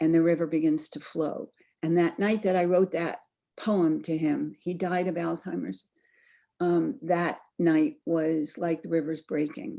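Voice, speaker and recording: A woman's fairly low voice, dark and mellow in tone, with fairly even intonation and a fairly slow pace. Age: 70s. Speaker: author. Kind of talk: author talk. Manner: meandering, halting.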